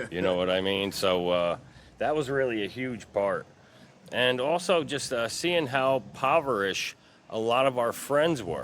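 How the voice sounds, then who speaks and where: Using a plain, everyday voice with an American accent, a man speaks at a medium pitch and moderate pace with lively intonation. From Troy, New York. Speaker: community member interviewed on street. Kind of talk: street interview.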